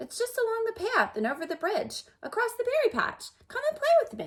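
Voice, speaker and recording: A woman's squeaky put-on character voice, extremely high, with very wide pitch swings at a moderate pace. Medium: read story. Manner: cheerful, carefree.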